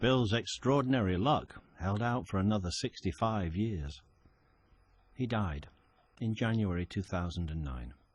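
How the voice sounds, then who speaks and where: A man with an unremarkable speaking voice and a fairly low pitch talks at a fairly slow pace with lively intonation over a quiet background. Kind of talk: documentary narration.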